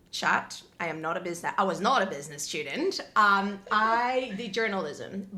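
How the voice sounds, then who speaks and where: Animated, medium-pitched female speech in a Spanish accent, with lively intonation, a bright, sharp tone and audible room echo. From Colombia. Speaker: podcast guest, graduate student. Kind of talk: casual chat. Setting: impromptu home interview.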